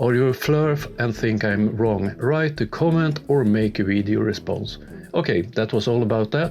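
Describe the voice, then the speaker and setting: A man with a Swedish accent speaks at a medium pitch. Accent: clear Swedish. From Sweden. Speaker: YouTuber, science debunker. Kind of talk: video commentary. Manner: halting with fillers.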